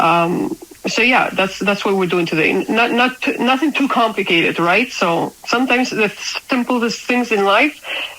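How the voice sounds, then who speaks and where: A woman speaks with a slight non-native accent and a fairly high pitch. Noticeable background noise can be heard. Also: moderate pace. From Spain. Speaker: crypto community leader. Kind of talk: casual interview chat. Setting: at home. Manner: halting.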